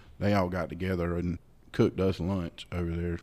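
The delivery is flat and monotone at a moderate pace. The tone is dark and mellow. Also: man. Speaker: church podcast co-host. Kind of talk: casual podcast chat.

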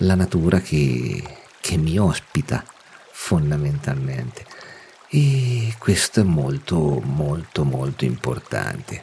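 Over noticeable background noise, a man speaks very slowly, his pitch swinging very widely. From Umbria, central Italy. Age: 40s. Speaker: nature photographer and podcaster. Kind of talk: solo podcast monologue. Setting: at home.

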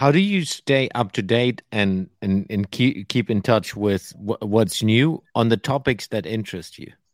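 A man speaks with hardly any pauses at medium pitch, in a plain, everyday voice. The sound is dry and close with no echo. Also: ordinary pitch variation. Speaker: podcast host. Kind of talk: casual interview conversation.

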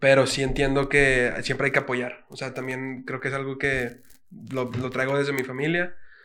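A man talks at a medium pitch in a flat, monotone delivery. Noticeable background noise and audible room echo surround his voice. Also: moderate pace. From Mexico City. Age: 20s. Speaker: reggaeton singer. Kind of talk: casual chat.

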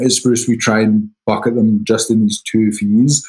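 A man with a Scottish accent talks at a medium pitch, his tone dark and mellow. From Scotland. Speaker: title company executive. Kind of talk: interview.

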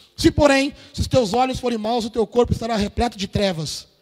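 Over noticeable background noise, a man talks at a fairly quick pace with ordinary pitch variation in a dry, close sound with no echo. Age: 40s. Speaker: pastor. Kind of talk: sermon. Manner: informal, slangy preaching.

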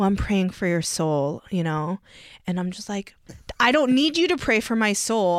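This woman has a plain, everyday voice with an American accent. Her pitch is medium and her pace moderate. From US, Korean American. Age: 30s. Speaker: voter interviewee. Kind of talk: interview.

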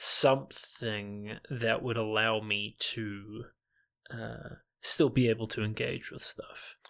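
In a New Zealand accent, a man speaks very slowly at a medium pitch with fairly even intonation. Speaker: internet content creator. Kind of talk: casual chat.

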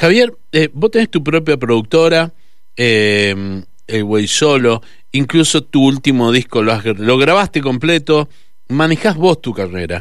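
Talking at a fairly slow pace, a man with a medium-pitched voice makes very wide pitch swings. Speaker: radio host. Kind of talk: radio interview. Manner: halting.

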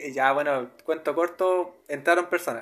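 A man with a Chilean accent speaks at a fairly slow pace with ordinary pitch variation. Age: 20s. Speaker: spiritual podcaster. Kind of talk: personal spiritual monologue. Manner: hesitant, repetitive.

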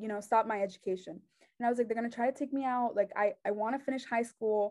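A woman with a Mexican accent speaks at a very fast pace and a fairly high pitch, her tone dark and mellow, with ordinary pitch variation. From Mexico, raised there after US birth. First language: Spanish. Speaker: journalism student. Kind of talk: testimony.

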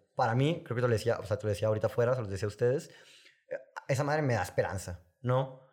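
Somewhat breathy, a man talks at a very fast pace and medium pitch with ordinary pitch variation, in a very clean recording with a silent background. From Sonora, northern Mexico. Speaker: filmmaker and music video director. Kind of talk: casual interview chat.

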